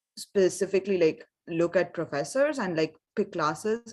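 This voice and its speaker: On a very clean recording with a silent background, a woman with a non-native accent speaks at a fairly low pitch and a moderate pace. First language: not English. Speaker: engineering student. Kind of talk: panel discussion.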